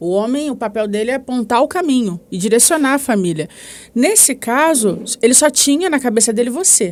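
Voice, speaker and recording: A woman talks in a high voice at a fairly quick pace with lively intonation. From Rio de Janeiro, Brazil. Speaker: psychoanalyst. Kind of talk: podcast interview answer.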